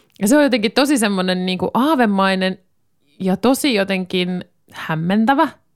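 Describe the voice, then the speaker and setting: At a moderate pace, a woman speaks at a medium pitch with lively intonation in an unremarkable speaking voice. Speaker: radio host. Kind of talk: casual chat. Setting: home studio.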